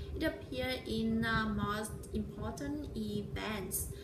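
Noticeable background noise accompanies a woman speaking at a fairly slow pace with a Vietnamese accent. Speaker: vlogger. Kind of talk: vlog monologue. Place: home room. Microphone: phone near.

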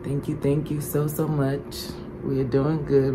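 Over noticeable background noise, a woman talks in a flat monotone at a very slow pace, her pitch very deep and low. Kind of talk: casual vlog chat. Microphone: phone near.

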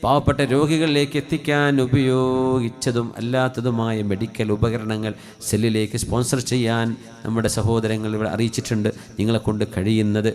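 Over music in the background, a man at a medium pitch holds very even loudness and fairly even intonation. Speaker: Islamic preacher. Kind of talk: sermon with supplication prayer.

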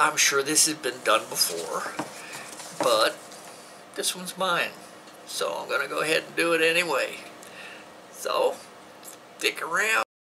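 Amid noticeable background noise, a man talks at a fairly slow pace with long, frequent pauses. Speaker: outdoor gear video host. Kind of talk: tutorial. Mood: relaxed, friendly. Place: home room.

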